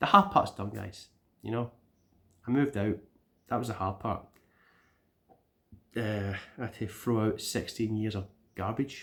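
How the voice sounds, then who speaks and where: In a Scottish accent, a man with a fairly low pitch and a bright, sharp tone speaks at a moderate pace with fairly even intonation and long, frequent pauses. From Scotland. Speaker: YouTuber, gaming channel vlogger. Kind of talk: casual vlog update. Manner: rambling, chatty.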